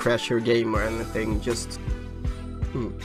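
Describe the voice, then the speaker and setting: A man with a non-native accent at medium pitch, with music in the background. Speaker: game modder. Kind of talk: screen-recorded tutorial.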